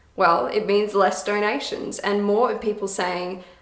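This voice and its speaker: A woman with an Australian accent speaks at a moderate pace and a medium pitch. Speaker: busker, musician. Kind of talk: scripted talk to camera. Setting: echoey room, reverb.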